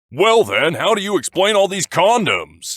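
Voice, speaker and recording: Using a put-on character voice, a man speaks in a high pitch. His pace is moderate. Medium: read story. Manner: formal, measured.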